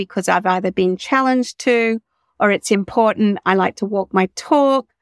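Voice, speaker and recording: The speaker goes at a moderate pace with a normal speaking voice. The sound is dry and close, with no echo. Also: woman, very clean recording, silent background. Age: 50s. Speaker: spiritual teacher and psychic. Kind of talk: casual chat.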